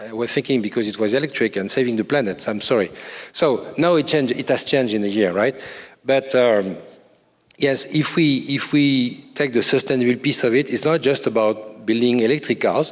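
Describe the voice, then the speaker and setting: A man with a French accent speaks at a fairly quick pace in a medium-pitched voice. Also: ordinary pitch variation. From France. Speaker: corporate incubator CEO. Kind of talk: conference panel interview. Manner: halting, many fillers and repetitions.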